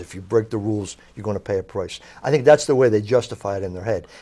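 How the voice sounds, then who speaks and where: A man is speaking. He has a South Philadelphia accent. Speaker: author, crime journalist. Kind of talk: interview.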